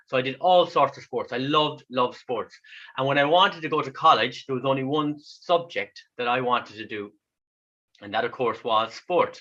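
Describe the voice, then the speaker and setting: This man has an Irish accent and a bright, sharp tone. His pitch is fairly high, with ordinary variation, at a moderate pace. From west of Ireland. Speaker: kidney patient and speaker. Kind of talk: online talk.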